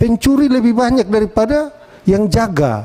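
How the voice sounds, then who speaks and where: A man with a high pitch speaks at a moderate pace in a strong East Nusa Tenggara accent, his intonation lively. Noticeable background noise runs under his voice. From East Nusa Tenggara, Indonesia (Atambua, Timor). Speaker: member of parliament. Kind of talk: parliamentary hearing speech. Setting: committee meeting room. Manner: firm and direct.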